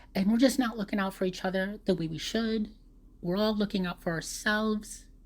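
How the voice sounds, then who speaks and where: In a very clean recording with a silent background, a woman speaks at a moderate pace, somewhat breathy, with medium pitch and ordinary pitch variation. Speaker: vlogger. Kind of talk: casual monologue. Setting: voice recording, off camera. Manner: rambling with hesitations.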